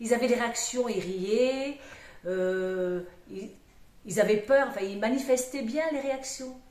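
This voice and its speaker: Amid noticeable background noise and audible room echo, a woman with a high pitch and ordinary pitch variation speaks very slowly, with long, frequent pauses. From southwest France, Aveyron. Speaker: storyteller. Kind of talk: interview conversation. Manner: hesitant, many fillers.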